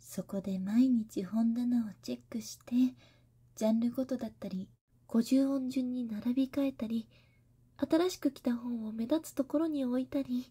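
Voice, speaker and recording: Soft-spoken whispering comes at a fairly slow pace over a quiet background. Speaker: character voice actor. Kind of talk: roleplay monologue addressed to listener. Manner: soft, close whisper-like intimate voice.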